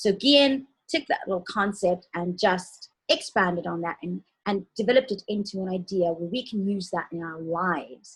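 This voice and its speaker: Her pace is moderate and her pitch medium. This woman sounds somewhat breathy, with ordinary pitch variation. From South Africa. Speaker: talk show co-host. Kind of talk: interview show introduction.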